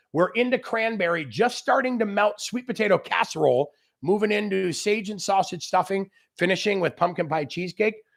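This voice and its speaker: A loud, animated man at a fairly quick pace, high in pitch with ordinary pitch variation, on a very clean recording with a silent background. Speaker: grilling expert chef. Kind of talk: live cooking demo with Q&A. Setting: outdoor barbecue area, livestream.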